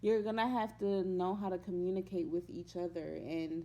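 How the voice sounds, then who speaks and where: Her pitch sits fairly low for a woman, and she talks at a moderate pace with fairly even intonation. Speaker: vlogger giving relationship advice. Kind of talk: casual vlog talk.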